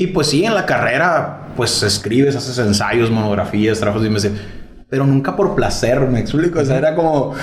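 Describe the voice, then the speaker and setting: Amid noticeable background noise and audible room echo, a man with a medium pitch speaks at a moderate pace with lively intonation and very even loudness. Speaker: podcast host. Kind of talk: casual chat.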